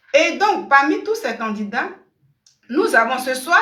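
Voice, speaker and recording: A woman speaks at a fairly slow pace, with audible room echo around her. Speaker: online commentator. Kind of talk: live stream commentary. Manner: keeping voice down.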